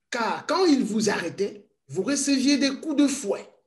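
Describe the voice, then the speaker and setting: Extremely high in pitch, a man speaks at a very slow pace with lively intonation. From Congo, Kasaï. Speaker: witness of colonial era. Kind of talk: testimony.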